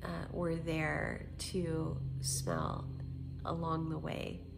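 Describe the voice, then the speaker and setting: Noticeable background noise plays under a woman's speech. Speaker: booktuber. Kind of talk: casual talk to camera.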